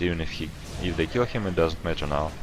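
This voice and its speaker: A man with a non-native accent and a very deep, low pitch, with music in the background. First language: not English. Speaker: esports caster. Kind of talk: live commentary. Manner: halting.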